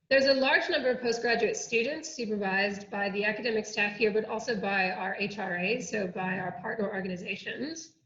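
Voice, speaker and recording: A woman with an American accent speaks fairly quickly, with hardly any pauses and ordinary pitch variation. Hers is a plain, everyday voice, fairly high in pitch. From United States. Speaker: oceanography researcher. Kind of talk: online workshop presentation.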